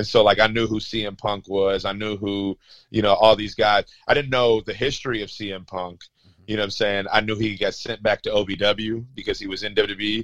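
A man talks at a moderate pace in a fairly low pitch, his intonation monotone and flat. His loudness swings widely. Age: 30s. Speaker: wrestling referee. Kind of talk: casual interview.

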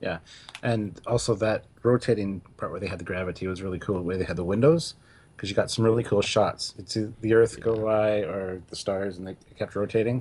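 A plain, everyday voice from a man, fairly low in pitch, fairly quick, with fairly even intonation. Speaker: podcast co-host. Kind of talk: casual chat.

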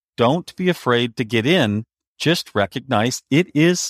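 A man speaks at a fairly slow pace with a medium pitch and lively intonation. The recording is very clean, with a silent background and a dry, close sound with no echo. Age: 50s. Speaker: author. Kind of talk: interview. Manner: halting.

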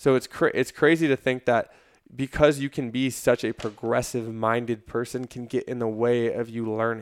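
A man with an unremarkable speaking voice, medium pitch and fairly even intonation at a moderate pace, in a dry, close, very clean recording with no echo and a silent background. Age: 20s. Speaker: strength and conditioning coach, fitness influencer. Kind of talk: casual chat.

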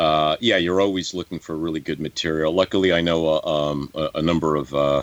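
Over noticeable background noise, a man with a New York accent speaks at a very deep, low pitch. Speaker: actor. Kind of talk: interview. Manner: halting.

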